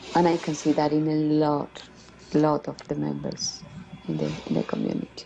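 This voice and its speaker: A woman with a Colombian accent, moderate in pace, with long, frequent pauses. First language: Spanish. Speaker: community member, former refugee. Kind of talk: interview. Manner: halting, many fillers.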